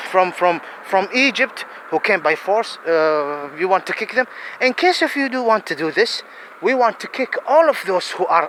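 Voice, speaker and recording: A man's pitch swings very widely as he speaks. Noticeable background noise runs underneath. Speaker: religious-political video commentator. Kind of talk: impassioned monologue. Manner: halting; animated.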